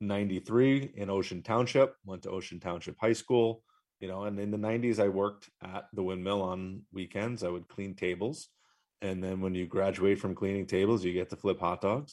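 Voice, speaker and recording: Speaking at a moderate pace with an American accent, a man uses a fairly low pitch and fairly even intonation. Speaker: insurance agency owner. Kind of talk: live radio interview.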